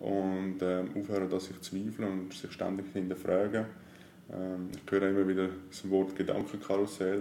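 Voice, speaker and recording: A man with an ordinary speaking voice at a fairly low pitch and a fairly slow pace. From Switzerland, Zurich area. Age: 30s. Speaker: life coach. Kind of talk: casual interview.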